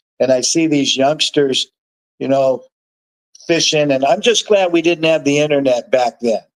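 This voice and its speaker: Long, frequent pauses break up a man's speech at a moderate pace. His pitch is fairly high, with ordinary variation. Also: dry, close sound with no echo. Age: 60s. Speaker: fishmonger and angler. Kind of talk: casual chat. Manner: animated.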